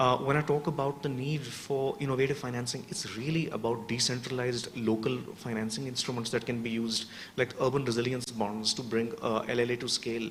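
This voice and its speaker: A man speaks at a medium pitch and a fairly quick pace. His intonation stays fairly even, with hardly any pauses. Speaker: urban resilience researcher. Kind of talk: panel discussion answer. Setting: workshop with audience. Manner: fast.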